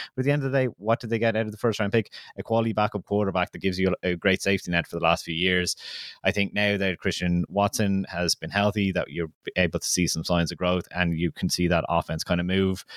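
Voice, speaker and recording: A man with an Irish accent speaks at a very fast pace in an animated, enthusiastic tone, his very deep, low pitch showing ordinary variation. The recording is very clean, with a silent background and a dry, close sound with no echo. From Kildare, Ireland. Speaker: podcast co-host. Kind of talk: casual sports preview chat.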